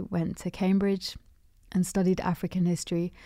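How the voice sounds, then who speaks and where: On a very clean recording with a silent background, a woman with a London accent talks at a moderate pace. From London, England. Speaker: musician and DJ. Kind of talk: casual chat. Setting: radio studio. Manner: hesitant, filler-heavy.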